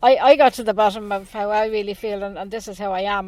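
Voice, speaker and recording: In an Irish accent, a woman talks at a very fast pace. Her medium-pitched delivery is monotone and flat. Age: 60s. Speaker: animal rights campaigner. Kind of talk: radio interview.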